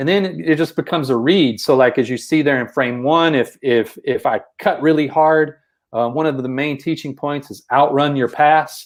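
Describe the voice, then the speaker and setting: In a Texas accent, a man talks at a moderate pace in a fairly high pitch with ordinary pitch variation against a quiet background. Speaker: basketball coach. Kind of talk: podcast discussion explaining basketball plays. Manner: repeats words, filler-heavy.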